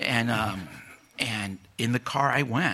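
A man speaks at a very slow pace with lively intonation over noticeable background noise. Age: 60s. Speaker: church member. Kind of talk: testimony. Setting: church. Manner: halting.

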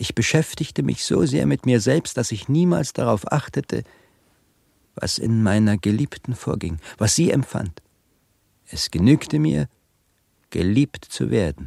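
In a put-on character voice, a man speaks with a dark, mellow tone, vocal fry and lively intonation. The pace is fairly slow with long, frequent pauses, and the sound is dry and close with no echo. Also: medium pitch for a man.

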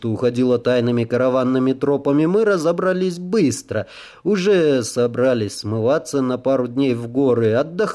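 It is an unforced reading voice. The intonation is lively.

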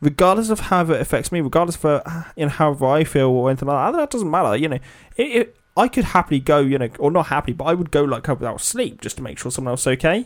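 Talking at a very fast pace with hardly any pauses, a man uses lively intonation in a fairly high pitch. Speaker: podcast host. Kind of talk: casual banter chat.

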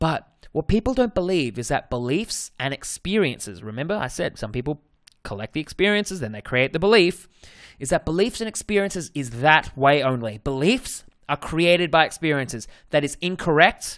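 In a very clean recording with a silent background, a speaker with an Australian accent talks at a fairly quick pace in an energetic tone with very wide pitch swings. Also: man, fairly high pitch for a man. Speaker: dating coach, podcast host. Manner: casual, energetic monologue.

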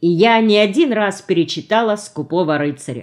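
This is an unforced reading voice. The text is read aloud.

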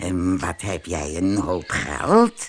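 A man puts on a character voice with a low pitch and very wide pitch swings. He speaks at a slow pace.

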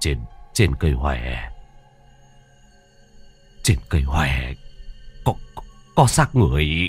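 Over music in the background, a man in a put-on character voice speaks with a very deep, low pitch, a shaky delivery, long, frequent pauses and a very slow pace. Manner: trembling, frightened.

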